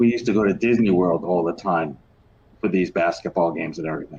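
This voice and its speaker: Pitch varies in an ordinary way as the man talks. Nothing much sounds in the quiet background. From New York. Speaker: children's book author and podcast host. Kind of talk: interview conversation.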